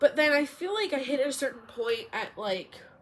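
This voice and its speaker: High pitch from a woman, along with very wide pitch swings. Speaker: podcaster and hairstylist. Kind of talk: casual solo podcast chat. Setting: recording alone on an iPad.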